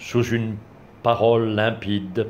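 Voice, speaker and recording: Light background noise sits behind the recording. A man speaks at a very slow pace. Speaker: blogger reading poetry. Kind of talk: poem reading, read aloud from a book after a short spoken introduction. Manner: measured, formal, literary delivery; unhurried, with a reverent, contemplative tone. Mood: calm, measured. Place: home room. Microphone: phone near.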